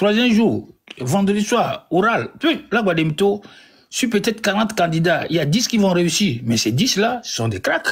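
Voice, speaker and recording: The man's voice is high in pitch, with very wide pitch swings. He keeps a moderate pace. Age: 70s. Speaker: caller on a live stream. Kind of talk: casual live-stream talk. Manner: halting, repetitive.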